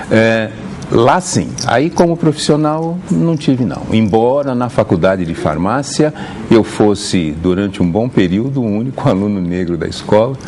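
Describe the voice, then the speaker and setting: Over noticeable background noise, a man of medium pitch speaks at a fairly slow pace with very wide pitch swings. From Brazil, Santos, São Paulo state. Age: 60s. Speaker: pharmacy professor. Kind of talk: TV interview. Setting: TV studio with audience.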